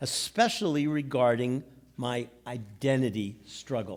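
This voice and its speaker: A man speaking at a very slow pace on a very clean recording with a silent background. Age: 70s. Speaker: storyteller sharing a personal mental health story. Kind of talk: personal testimony on stage. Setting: stage with audience.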